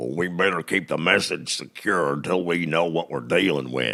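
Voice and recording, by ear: A man does a cartoonish character voice with a very deep, low pitch. He talks at a moderate pace with ordinary pitch variation.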